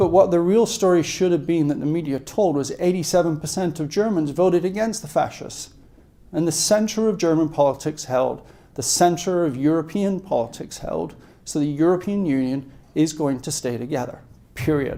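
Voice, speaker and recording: A man with an American accent speaks at a moderate pace in a high, dark, mellow voice with ordinary pitch variation, and room echo is audible. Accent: British accent (joking he sounds New York). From UK. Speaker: investment strategist. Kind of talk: conference talk. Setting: event at a country club, live audience.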